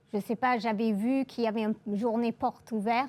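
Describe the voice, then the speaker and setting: Speaking at a moderate pace with a slight English accent, a woman uses a fairly high pitch and monotone, flat intonation. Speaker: engineer and aerospace program director. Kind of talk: interview. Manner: hesitant, many filler sounds.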